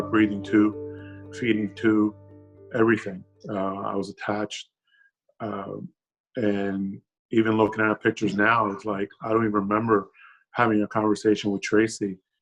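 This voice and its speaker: Music plays in the background while the speaker goes at a moderate pace with fairly even intonation and long, frequent pauses. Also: man, fairly low pitch for a man. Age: 40s. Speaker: COVID-19 survivor. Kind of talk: testimony.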